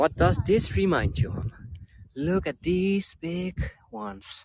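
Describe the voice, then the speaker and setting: A man at a very slow pace, with big swings in loudness. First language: Dutch. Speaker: travel vlogger. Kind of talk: live-stream tour guiding. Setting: outdoors. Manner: animated.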